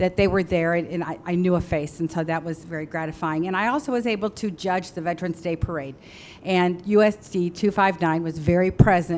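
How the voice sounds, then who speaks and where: A woman with an ordinary speaking voice and a fairly low pitch talks at a fairly quick pace with hardly any pauses and fairly even intonation, in a very clean recording with a silent background. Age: 60s. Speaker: school board member. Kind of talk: public meeting remarks. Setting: board meeting.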